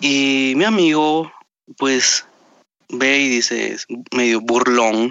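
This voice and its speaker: A man's medium-pitched voice at a very slow pace, with long, frequent pauses and ordinary pitch variation. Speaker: podcast co-host. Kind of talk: casual chat. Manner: formal word choice.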